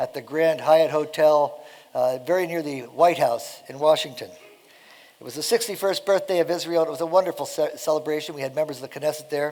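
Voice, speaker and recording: This is an ordinary speaking voice at a fairly quick pace with ordinary pitch variation. Its loudness swings a lot. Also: man, fairly high pitch for a man. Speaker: mission founder speaking at church. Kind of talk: speech to church congregation. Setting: church service with audience.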